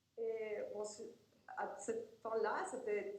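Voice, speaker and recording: Amid noticeable background noise and audible room echo, a woman with a Spanish accent speaks at a medium pitch. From Argentina. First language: Spanish (speaking French). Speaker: professor and researcher. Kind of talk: lecture. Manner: halting.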